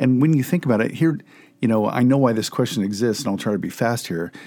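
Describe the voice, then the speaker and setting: A man in an ordinary speaking voice, medium pitch, lively intonation and a fairly quick pace. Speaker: pastor and co-host. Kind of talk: casual theological discussion.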